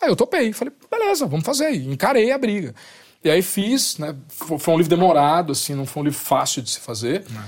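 With very wide pitch swings, a man talks at a fairly quick pace in a high voice. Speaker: writer and musician. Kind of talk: casual chat.

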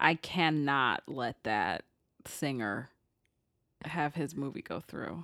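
A woman's very deep, low voice, bright and sharp in tone, with lively intonation, a very slow pace and long, frequent pauses, on a very clean recording with a silent background and a dry, close sound with no echo. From a city. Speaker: podcast co-host. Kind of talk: casual chat.

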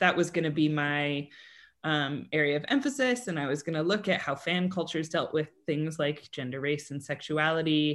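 Against a quiet background, a woman with a plain, everyday voice talks at a fairly quick pace, her fairly low pitch carrying lively intonation. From Colorado, US. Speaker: theatre history professor. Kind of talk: interview.

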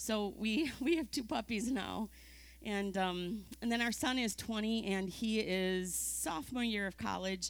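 A normal speaking voice, very even in loudness and ordinary in pitch variation, at a fairly slow pace in a very clean recording with a silent background. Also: woman, medium pitch for a woman. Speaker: ministry partner. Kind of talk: casual chat.

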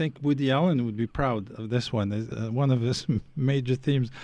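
In a very clean recording with a silent background, a man with an Arabic accent speaks fairly quickly at a medium pitch, his tone dark and mellow and his pitch variation ordinary. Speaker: radio host. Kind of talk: interview. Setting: studio.

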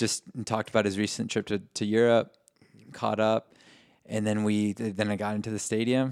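A man speaks at a fairly low pitch with monotone, flat intonation. The sound is dry and close, with no echo. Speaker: soccer fan podcast co-host. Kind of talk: casual chat. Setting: home recording.

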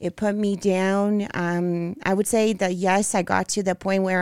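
In a Brazilian accent, a woman talks at a medium pitch and a moderate pace. Her intonation is monotone and flat, on a very clean recording with a silent background. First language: Portuguese. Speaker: bodybuilding figure competitor. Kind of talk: interview.

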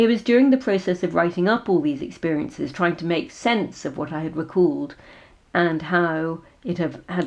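A woman with an English accent talks at a fairly slow pace. Her pitch is fairly low and her intonation lively. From England. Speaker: author and PhD researcher. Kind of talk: talk about own memoir.

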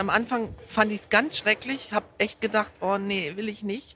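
Her voice is a plain, everyday voice, with medium pitch for a woman. She talks at a moderate pace with fairly even intonation. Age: 50s. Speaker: football fan, wheelchair user. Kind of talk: casual chat. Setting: stadium stands.

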